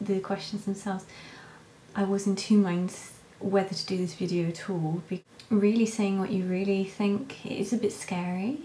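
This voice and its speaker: In a British accent, a woman talks at a moderate pace with fairly even intonation over noticeable background noise. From Britain. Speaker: vlogger, stay-at-home mother. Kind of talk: casual vlog Q&A. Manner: quiet, talking softly; hesitant, many fillers.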